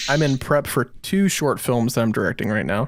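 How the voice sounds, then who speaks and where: A man with an unremarkable speaking voice, lively intonation and a moderate pace, on a very clean recording with a silent background. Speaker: podcast host and short film director. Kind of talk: casual chat.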